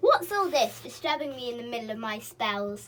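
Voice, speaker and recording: A woman performs a put-on character voice, pitched high and moving at a moderate pace. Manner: annoyed at being interrupted.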